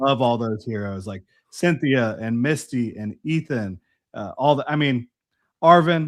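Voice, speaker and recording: At a fairly slow pace, a man with a plain, everyday voice speaks at medium pitch with ordinary pitch variation and big swings in loudness, in a dry, close sound with no echo and a quiet background. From US South, Jacksonville, Florida. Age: 30s. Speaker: Pokemon collector and YouTuber. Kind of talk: casual chat.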